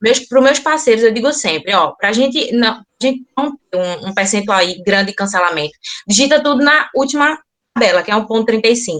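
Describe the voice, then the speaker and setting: Speaking at a fairly quick pace, a woman uses lively intonation and a fairly high pitch. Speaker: loan broker / bank partner. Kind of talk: online business forum Q&A. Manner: fast.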